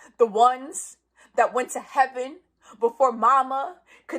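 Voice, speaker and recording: Speaking fairly slowly with an American accent, a woman uses a high pitch, a bright, sharp tone and fairly even intonation. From New York City, the Bronx. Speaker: spoken word poet. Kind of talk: spoken word performance. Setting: live stream from home.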